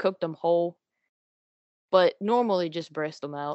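In a Louisiana accent, a woman speaks at a fairly low pitch with ordinary pitch variation. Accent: Louisiana Southern US. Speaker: college student and hunter. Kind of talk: casual interview.

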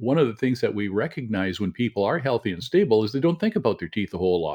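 The recording is very clean, with a silent background. A man speaks at medium pitch in a dry, close sound with no echo. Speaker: dentist. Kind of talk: promotional interview.

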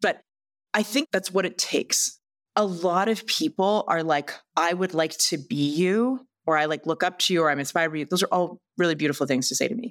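In a Canadian accent and an ordinary speaking voice, a woman talks at a fairly quick pace with a medium pitch and lively intonation on a very clean recording with a silent background. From western Canada. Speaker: entrepreneur and TV investor. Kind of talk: casual interview. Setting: podcast studio.

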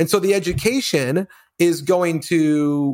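A man with an American accent has an unremarkable speaking voice, a fairly high pitch and ordinary pitch variation, recorded very cleanly against a silent background. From US, Colorado. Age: 40s. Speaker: business owner. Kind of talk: casual chat.

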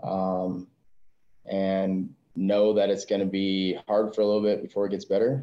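Someone with an American accent talks at a moderate pace in a monotone, flat intonation. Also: man. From US Midwest (South Dakota). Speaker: gym owner, Marine veteran. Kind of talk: podcast interview.

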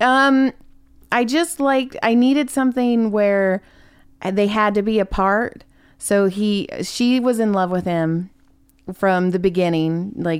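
A woman with an ordinary speaking voice and an American accent speaks at a medium pitch and a fairly slow pace with lively intonation, on a very clean recording with a silent background. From California. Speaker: comedian. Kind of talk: casual chat.

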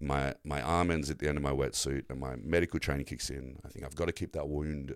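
In an Australian accent, a man talks at a very fast pace in a very deep, low pitch with vocal fry and a monotone, flat intonation. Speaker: shark attack survivor and navy veteran. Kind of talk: casual chat.

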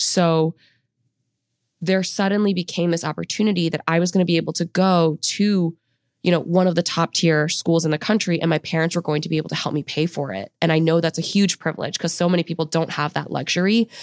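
A woman with a plain, everyday voice speaks at a fairly low pitch and fairly quick pace, the sound dry and close with no echo on a very clean recording with a silent background. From US, child of Chinese immigrants. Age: 20s. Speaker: personal finance content creator, former Wall Street trader. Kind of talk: interview. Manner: casual, upbeat.

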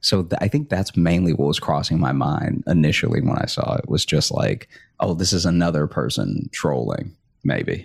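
A man speaks at a moderate pace with a very deep, low pitch and vocal fry. His intonation is lively, and his loudness stays very even. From Louisiana, US South. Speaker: stand-up comic and late night writer. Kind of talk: casual interview.

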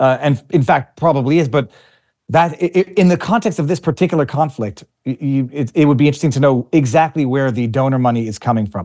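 Over a quiet background, a man talks at a very fast pace in a fairly high pitch with ordinary variation. His tone is dark and mellow, and the sound is dry and close with no echo. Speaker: lawyer and online show host. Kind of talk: casual interview chat. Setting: video call.

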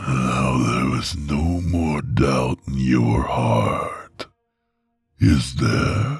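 A man's put-on character voice, hoarse and growling, very deep and low in pitch, at a very slow pace. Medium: read story. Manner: sensual, worshipful, archaic phrasing.

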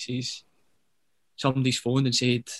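A man with a Glaswegian accent speaks at medium pitch in a monotone, flat way, with vocal fry. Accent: Glaswegian Scottish. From Glasgow, Scotland. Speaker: professional footballer. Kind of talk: casual interview chat.

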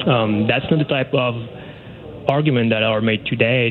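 The speaker has a Quebec accent. Noticeable background noise runs underneath. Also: man. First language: French. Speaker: academic researcher. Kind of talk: radio phone interview. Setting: phone call.

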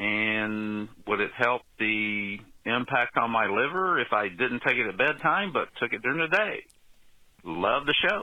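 At a fairly slow pace, a man with a normal speaking voice talks at medium pitch with lively intonation. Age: 60s. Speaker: caller. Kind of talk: call-in question.

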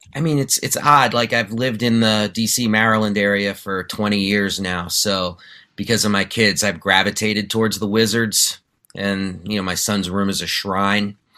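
On a very clean recording with a silent background, a man with an American accent speaks at a moderate pace. His voice is fairly low, with a bright, sharp tone. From New York City. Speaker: sports journalist and podcast host. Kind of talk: casual chat. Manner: animated.

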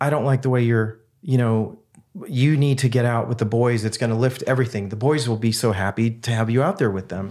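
A man's ordinary speaking voice at a medium pitch, with ordinary pitch variation and a fairly quick pace, in a very clean recording with a silent background. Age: 50s. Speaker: breathing device company CEO. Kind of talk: casual chat.

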